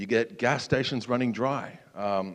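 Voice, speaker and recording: His pitch shifts in an ordinary way. The man has an Australian accent. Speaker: security researcher, conference speaker. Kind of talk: conference talk. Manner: casual, filler-heavy.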